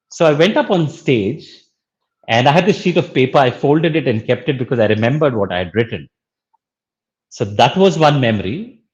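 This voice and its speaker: With a Pakistani accent, a somewhat breathy man talks at a fairly quick pace with lively intonation against a quiet background. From India, Bangalore. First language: Urdu. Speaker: social entrepreneur and educator. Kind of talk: interview.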